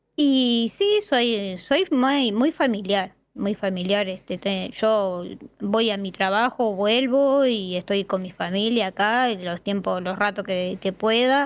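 Against a quiet background, a woman speaks with a Uruguayan accent at a medium pitch. Her pace is very slow and her pitch varies in an ordinary way. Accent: Rioplatense Spanish (Uruguayan). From Uruguay, Montevideo. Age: 40s. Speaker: viewer, municipal employee. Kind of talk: casual interview. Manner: halting, many fillers.

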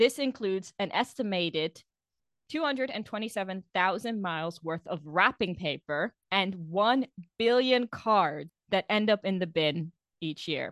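A woman with a medium pitch and lively intonation talks fairly slowly in a dry, close sound with no echo over a quiet background. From outside the UK, expat background. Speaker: podcast co-host. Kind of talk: casual chat.

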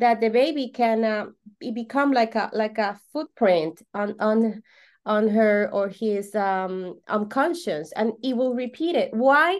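A woman's fairly high voice in a Venezuelan accent, very slow and lively in intonation, against a quiet background. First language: Spanish. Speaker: holistic coach. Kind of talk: podcast interview. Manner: halting, with many fillers and repetitions.

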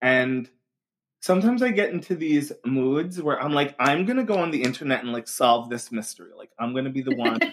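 An ordinary speaking voice from a man with an American accent, fairly high in pitch, fairly quick, with lively intonation. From Long Island, New York. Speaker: occult community founder. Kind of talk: casual chat.

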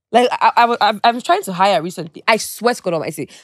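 Very fast and with ordinary pitch variation, a woman's voice comes through dry and close with no echo in a very clean recording with a silent background. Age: 20s. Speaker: influencer and entrepreneur. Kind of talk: casual chat. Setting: studio.

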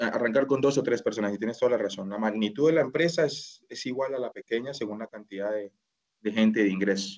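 Very fast speech from a man at medium pitch. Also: ordinary pitch variation. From Colombia (Bogotá). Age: 30s. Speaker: e-commerce manager. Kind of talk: interview. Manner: halting.

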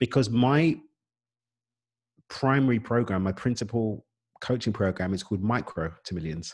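Speaking with a British accent, a man uses medium pitch and lively intonation. His pace is moderate, with long, frequent pauses. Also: quiet background. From East London, England. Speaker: business coach. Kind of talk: podcast interview.

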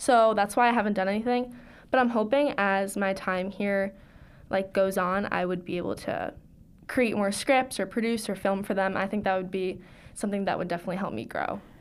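A woman with an American accent and a plain, everyday voice speaks at medium pitch and a fairly quick pace, with fairly even intonation. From Long Island, New York. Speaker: college student. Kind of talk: interview answers.

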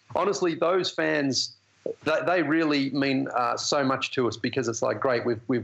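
Noticeable background noise accompanies a man talking with ordinary pitch variation at a moderate pace. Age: 40s. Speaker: basketball TV analyst. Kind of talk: casual interview. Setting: phone or video call.

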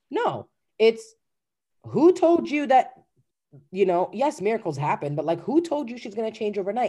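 A woman's fairly high voice with vocal fry, a dark, mellow tone and very wide pitch swings. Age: 30s. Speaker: life coach. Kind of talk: casual chat.

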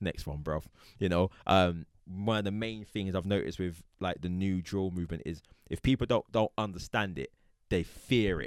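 A man with a London accent, very deep and low in pitch, ordinary pitch variation, moderate pace, dry, close sound with no echo. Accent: London Multicultural English. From South London. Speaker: podcast host. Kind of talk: casual chat. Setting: studio.

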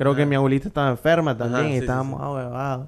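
A man speaks with a Nicaraguan accent. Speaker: podcast host. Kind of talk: casual chat.

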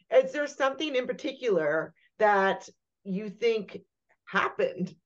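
Speaking fairly slowly, a woman uses an ordinary speaking voice, fairly high in pitch. Her intonation is lively. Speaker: podcast co-host. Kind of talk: interview conversation.

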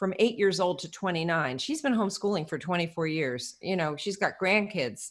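A plain, everyday voice at a moderate pace, lively in intonation, with hardly any pauses, on a very clean recording with a silent background. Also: woman, medium pitch for a woman. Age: 60s. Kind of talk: interview.

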